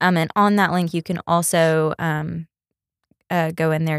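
At a moderate pace, a woman talks in a fairly low pitch with monotone, flat intonation, the sound dry and close with no echo. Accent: Texan. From East Texas. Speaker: hat designer and boutique owner. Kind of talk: casual interview.

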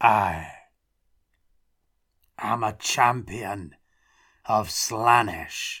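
A put-on character voice, low-pitched, guttural and raspy, creeps along at a very slow pace with long, frequent pauses. The recording is very clean, the background silent. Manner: slurred.

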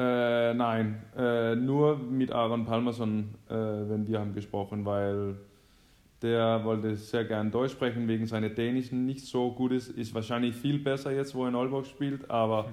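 A man with a Danish accent talks at a fairly slow pace. His pitch is medium and his intonation is flat and monotone. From Denmark. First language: Danish (speaking German). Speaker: professional handball player. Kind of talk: casual chat. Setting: phone call.

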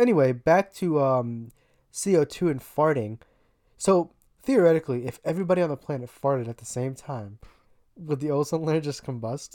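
A woman with an American accent speaks at a very deep, low pitch in a dark, mellow tone. Her intonation is lively, and her pace is moderate. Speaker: podcast co-host. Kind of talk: casual comedic chat.

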